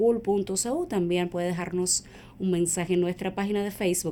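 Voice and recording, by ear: The tone is dark and mellow, the intonation fairly even and the pace moderate. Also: woman.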